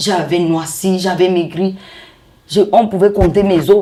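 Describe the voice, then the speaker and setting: A woman speaks in a medium-pitched voice with ordinary pitch variation. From Cameroon, Ebolowa and Yaoundé. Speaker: business owner, construction company. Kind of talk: interview, personal testimony. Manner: animated.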